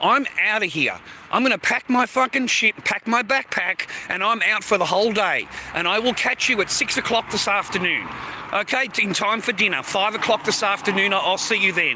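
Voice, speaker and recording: With an Australian accent, a man speaks at a high pitch and moderate pace, his tone animated, his pitch variation ordinary and his loudness very even, over noticeable background noise. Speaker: live streamer. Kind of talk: livestream monologue. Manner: halting.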